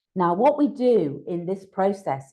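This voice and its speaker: A woman speaks in a medium pitch with a dark, mellow tone. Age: 60s. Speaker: workshop speaker, wellness coach. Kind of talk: online workshop presentation. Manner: casual, hesitant fillers.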